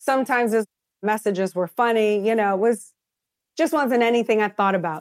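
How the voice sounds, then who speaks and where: A woman with a normal speaking voice talks at a fairly quick pace and fairly high pitch, with ordinary pitch variation. Her loudness is very even, and the sound is dry and close with no echo. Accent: American. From US South, New Orleans, Louisiana. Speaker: businesswoman and former actress. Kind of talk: interview.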